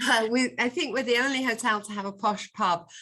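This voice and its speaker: A woman's bright, sharp tone in a Yorkshire accent. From Yorkshire, northern England. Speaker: hotel executive. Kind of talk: webinar presentation.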